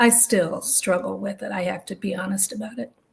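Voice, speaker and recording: A woman's fairly high-pitched voice with vocal fry. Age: 70s. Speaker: retired minister. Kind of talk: interview.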